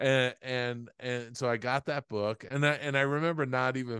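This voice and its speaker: A man with an American accent talks at a fairly slow pace. The sound is dry and close with no echo, over a quiet background. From New York (Queens). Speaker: former visual effects supervisor and author. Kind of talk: interview conversation. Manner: halting, many fillers.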